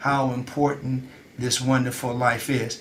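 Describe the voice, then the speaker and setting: Medium-pitched male speech amid noticeable background noise and audible room echo. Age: 70s. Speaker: nutritionist show host. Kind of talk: health talk show discussion. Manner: halting, many fillers.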